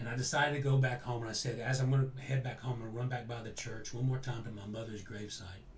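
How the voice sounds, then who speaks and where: Medium-pitched man with fairly even intonation, music in the background and audible room echo. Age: 60s. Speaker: interview guest. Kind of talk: personal storytelling in an interview. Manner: halting, with frequent self-corrections.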